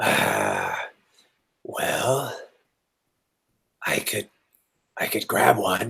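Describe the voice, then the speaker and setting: Low and raspy, a put-on character voice moves at a very slow pace. Long, frequent pauses break up the speech. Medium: actual play. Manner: stammering, hesitant, repeats words.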